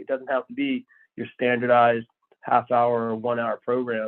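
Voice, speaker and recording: A man talks at a medium pitch and moderate pace in an ordinary speaking voice. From US South; born in Texas, moved around the South, then New Jersey for high school. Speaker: TV producer, former actor. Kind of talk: casual interview. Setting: phone call.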